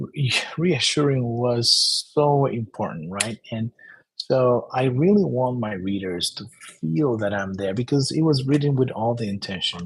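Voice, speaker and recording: With a Spanish accent, a man at medium pitch speaks at a moderate pace with lively intonation. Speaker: self-help author. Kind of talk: book presentation monologue. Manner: halting, many repetitions and fillers.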